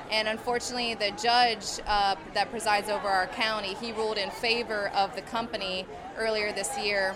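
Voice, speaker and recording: Amid noticeable background noise and audible room echo, a woman speaks in a fairly high pitch with flat, monotone intonation. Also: moderate pace. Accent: American. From rural central Pennsylvania. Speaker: anti-pipeline activist. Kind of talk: protest interview testimony.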